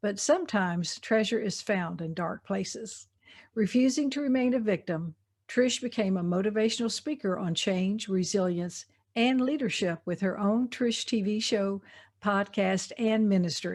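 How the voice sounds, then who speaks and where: With a Southern US accent, a woman speaks at a moderate pace and medium pitch, somewhat breathy, with ordinary pitch variation. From US South. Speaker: podcast host. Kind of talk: interview; scripted introduction.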